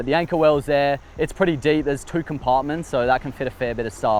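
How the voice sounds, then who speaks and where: A man with an Australian accent talks at a fairly quick pace over noticeable background noise. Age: 20s. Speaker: fishing YouTuber. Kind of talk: casual interview.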